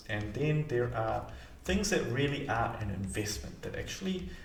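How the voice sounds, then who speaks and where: Amid noticeable background noise and audible room echo, a man talks at a moderate pace in a medium pitch with very wide pitch swings. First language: not English. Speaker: mortgage broker and financial advisor. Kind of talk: explainer video to camera. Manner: casual, hesitant with fillers.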